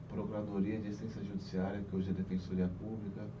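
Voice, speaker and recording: A man's fairly low voice with fairly even intonation, plus noticeable background noise and audible room echo. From Brazil, Guarulhos (São Paulo). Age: 40s. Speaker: police chief. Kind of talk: interview.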